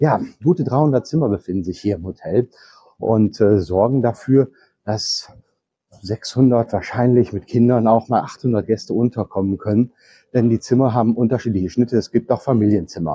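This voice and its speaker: Speaking at a moderate pace, this man uses ordinary pitch variation. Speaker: travel vlogger. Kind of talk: walking tour commentary. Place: hall. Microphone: lapel.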